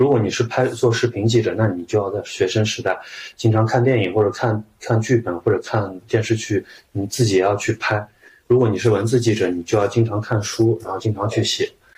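Somewhat breathy and monotone with flat intonation, a man at medium pitch talks at a fairly quick pace. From Shaanxi, China. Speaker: journalist. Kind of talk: interview conversation.

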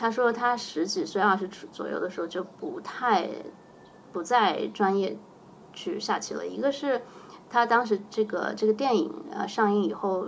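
A woman's fairly high voice with vocal fry, lively intonation, big swings in loudness and a moderate pace. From China (Xinjiang, then Hainan). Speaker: chess coach. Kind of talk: casual interview chat.

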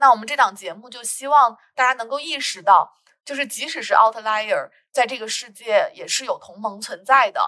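A woman speaks with a high, bright, sharp tone and ordinary pitch variation. Her loudness swings widely. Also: moderate pace. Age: 30s. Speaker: podcast host, sociology PhD student. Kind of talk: casual conversational podcast.

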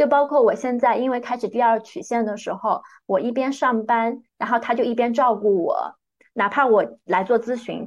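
Against a quiet background, a woman with a plain, everyday voice and a fairly high pitch talks at a moderate pace. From northern Jiangsu, China (small county town). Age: 30s. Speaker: big data product director and life coach. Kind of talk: interview, personal life story.

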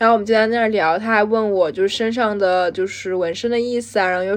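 Fairly quick delivery in an unremarkable speaking voice, with ordinary pitch variation. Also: woman. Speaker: podcast co-host, graduate student. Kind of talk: casual chat.

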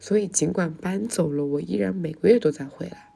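This woman talks fairly quickly with vocal fry, a dark, mellow tone, a very deep, low pitch and very wide pitch swings. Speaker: podcast host. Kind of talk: solo monologue.

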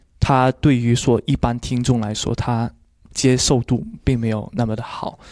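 In a Cantonese accent, a man speaks at a medium pitch and a fairly slow pace with fairly even intonation. The recording is very clean, with a silent background and a dry, close sound with no echo. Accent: Cantonese-tinged Mandarin. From Guangdong, China. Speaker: beatbox champion and judge. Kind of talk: casual interview.

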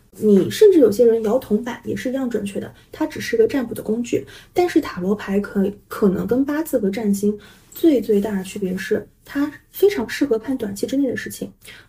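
A woman speaks at a moderate pace and a fairly high pitch, her tone dark, mellow and gentle, somewhat breathy, with lively intonation. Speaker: tarot reader. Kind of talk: casual interview. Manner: gentle, many fillers.

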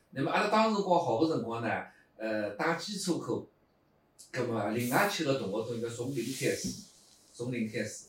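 Over noticeable background noise and audible room echo, a man speaks at a fairly quick pace with very wide pitch swings. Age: 50s. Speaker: pingtan storytelling performer. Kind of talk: casual interview chat.

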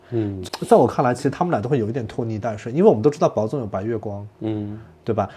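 A very fast, somewhat breathy man's voice at medium pitch with ordinary pitch variation. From not from Shanghai. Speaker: podcast host. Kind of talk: casual chat.

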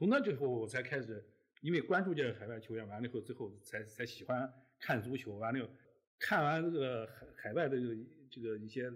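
Loudness swings widely and pitch varies in an ordinary way. The pace is fairly quick. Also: man, medium pitch for a man. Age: 60s. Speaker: newspaper editor. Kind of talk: casual chat. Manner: halting.

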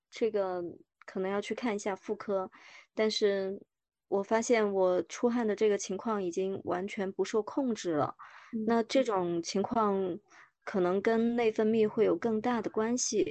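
A woman with an unremarkable speaking voice and medium pitch talks at a fairly slow pace with fairly even intonation. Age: 40s. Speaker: woman sharing menopause experience, former agency worker. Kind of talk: interview testimony.

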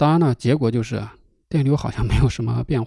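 With a dark, mellow tone and vocal fry, a man speaks at a medium pitch and a fairly quick pace, his intonation fairly even. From northern China, Hebei–Inner Mongolia border countryside. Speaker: podcast host. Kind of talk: solo storytelling podcast. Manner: casual, relaxed with fillers.

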